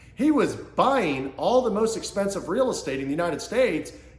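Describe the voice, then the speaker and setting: Animated in tone, a man with an American accent makes very wide pitch swings. Audible room echo and noticeable background noise surround his voice. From Kansas City, US Midwest. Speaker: small business coach / entrepreneur. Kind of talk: motivational business talk to camera. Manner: fast.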